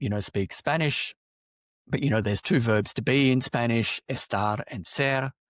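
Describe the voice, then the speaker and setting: At a moderate pace, a man speaks with an Australian accent and a medium pitch. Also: dry, close sound with no echo, very clean recording, silent background. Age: 40s. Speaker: loneliness advocate, podcast guest. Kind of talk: podcast interview. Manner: animated.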